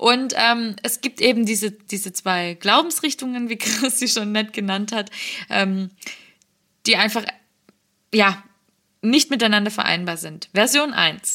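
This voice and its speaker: A woman speaks at a fairly slow pace with long, frequent pauses. Her tone is bright and sharp, with ordinary pitch variation. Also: fairly high pitch for a woman. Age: 20s. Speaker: podcast co-host. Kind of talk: casual chat.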